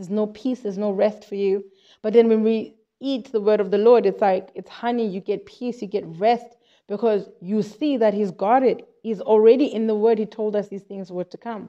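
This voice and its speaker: With a South African accent, a woman speaks at a moderate pace in a fairly high pitch, her dark, mellow tone carrying fairly even intonation amid big swings in loudness. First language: Xhosa. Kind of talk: informal Bible teaching monologue. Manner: halting, with repetitions.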